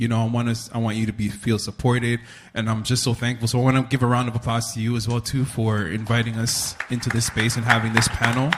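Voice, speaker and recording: Over crowd noise in the background, someone with a Toronto accent talks at a very fast pace. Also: man. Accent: Canadian English, Toronto. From Toronto, Canada. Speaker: panel moderator, writer and filmmaker. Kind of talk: live panel discussion. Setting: stage with audience. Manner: animated.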